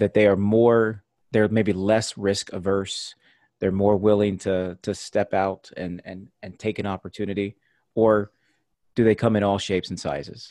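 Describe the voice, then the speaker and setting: With a dry, close sound and no echo, a man speaks in a fairly low, monotone, flat voice with big swings in loudness. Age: 30s. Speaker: podcast host. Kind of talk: casual interview chat. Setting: video call.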